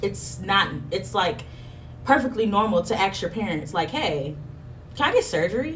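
A woman at medium pitch speaks at a moderate pace with very wide pitch swings and long, frequent pauses over noticeable background noise. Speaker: podcast host. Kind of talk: casual chat. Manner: open, loud, blunt.

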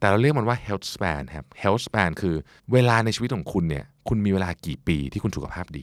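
In a normal speaking voice, a man talks at a fairly low pitch with lively intonation. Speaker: podcast host. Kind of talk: self-help talk.

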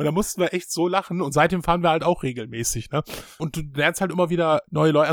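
This man's voice sits fairly high in pitch as he races along at a very fast pace. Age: 40s. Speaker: gaming podcast guest. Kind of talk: casual chat. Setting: remote call.

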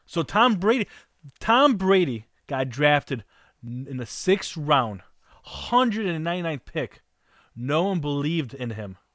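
Here a man speaks with a fairly high pitch. His pitch swings very widely. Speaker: guest co-host, sports fan. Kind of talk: casual sports talk.

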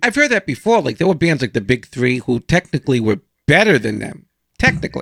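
Dry and close with no echo, a man with a fairly high pitch and vocal fry speaks at a very fast pace with very wide pitch swings. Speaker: podcast host. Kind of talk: interview.

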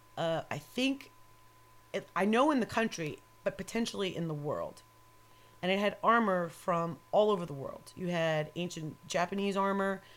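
With an American accent, a woman speaks at a medium pitch and a moderate pace in an ordinary speaking voice. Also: ordinary pitch variation. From New York. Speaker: metal photographer. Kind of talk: casual chat. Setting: home studio. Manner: profane, joking.

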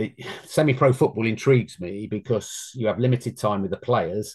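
Here a man talks with a slight London accent. The background is quiet. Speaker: former amateur football goalkeeper. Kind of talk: interview.

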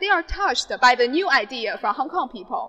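Raising and projecting her voice, a woman speaks at a moderate pace with lively intonation. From mainland China. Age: 20s. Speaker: mainland student in Hong Kong. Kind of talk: interview testimony.

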